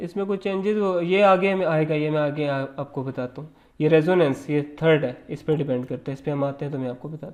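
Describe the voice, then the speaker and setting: A man with a fairly high pitch uses a normal speaking voice, moderate pace and ordinary pitch variation. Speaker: lecturer. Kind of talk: lecture.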